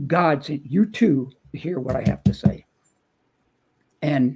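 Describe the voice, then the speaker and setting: With vocal fry, a man speaks in a fairly high pitch and ordinary pitch variation. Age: 70s. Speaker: motivational speaker and author. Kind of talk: casual chat. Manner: animated.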